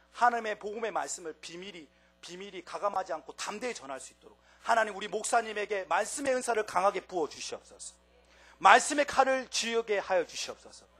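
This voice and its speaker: A man with a strong Gyeongsang accent, high pitch, ordinary pitch variation, big swings in loudness and a fairly quick pace, over background music. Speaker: preacher. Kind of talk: sermon.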